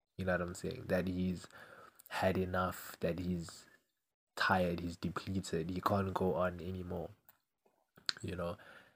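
In a very clean recording over a silent background, a man with a very deep, low voice speaks fairly slowly in a flat monotone, leaving long, frequent pauses. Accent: British. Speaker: podcast host. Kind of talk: casual solo monologue. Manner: casual, rambling.

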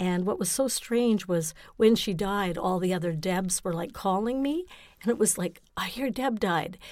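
In a Canadian accent, a woman speaks at a moderate pace with a medium pitch and ordinary pitch variation. She has a plain, everyday voice, recorded very cleanly against a silent background. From Ontario, Canada (Napanee). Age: 60s. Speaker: guest. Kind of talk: casual chat. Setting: studio.

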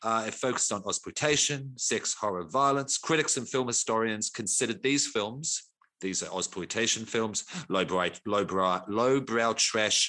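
Over a quiet background, a man with a New Zealand accent talks at a moderate pace in a bright, sharp tone with ordinary pitch variation. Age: 40s. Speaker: podcast host. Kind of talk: casual chat.

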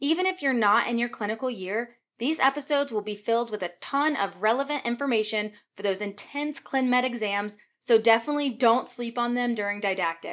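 With an American accent, a woman talks in a normal speaking voice at a fairly quick pace, her fairly high pitch moving with ordinary variation on a very clean recording with a silent background. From Virginia. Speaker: physician assistant and podcast host. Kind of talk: scripted monologue.

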